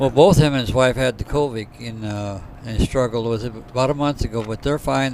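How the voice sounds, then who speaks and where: A man is talking. Noticeable background noise can be heard. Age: 70s. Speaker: bowling alley owner and commentator. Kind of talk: live commentary. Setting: bowling alley.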